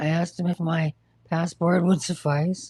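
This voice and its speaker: A dark, mellow, somewhat breathy voice with an American accent, at a fairly slow pace, dry and close with no echo. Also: woman. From New York. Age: 60s. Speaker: livestreamer with cancer. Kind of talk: casual livestream chat. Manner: halting.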